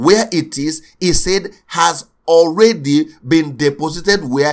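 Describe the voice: A man's fairly high voice at a slow pace, with ordinary pitch variation.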